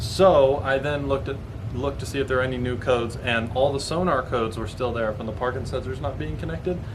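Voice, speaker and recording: A man talks at a very fast pace in a medium pitch. Audible room echo and noticeable background noise surround him. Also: ordinary pitch variation. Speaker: automotive YouTuber. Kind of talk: vlog explanation. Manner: halting with self-corrections.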